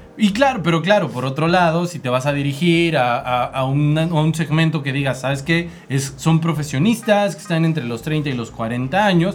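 A man speaks with a central Mexican accent at a moderate pace, his pitch fairly high and its variation ordinary. He hardly pauses, and noticeable background noise sits behind him. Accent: Mexican Spanish (central Mexico). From Mexico, Estado de México. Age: 30s. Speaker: podcast host, marketing. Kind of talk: casual chat. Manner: animated.

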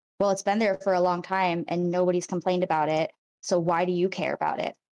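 A woman's medium-pitched voice, dark and mellow in tone, at a fairly quick pace, with a dry, close sound free of echo and a quiet background. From Rhode Island, Cranston. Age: 20s. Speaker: activist. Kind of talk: casual interview.

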